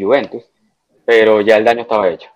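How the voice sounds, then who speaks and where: At a medium pitch and fairly quick pace, a man talks in a normal speaking voice. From Dominican Republic. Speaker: football fan. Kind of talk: casual chat. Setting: online call.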